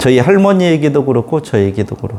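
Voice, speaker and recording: The speaker is a man. Noticeable background noise sits behind him. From Korea, Chungcheong-Jeolla border. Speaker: pastor. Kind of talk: sermon.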